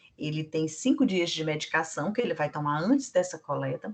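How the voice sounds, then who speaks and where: At a moderate pace, a woman with a normal speaking voice talks in fairly low pitch with lively intonation. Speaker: blood centre staff trainer. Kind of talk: training lecture.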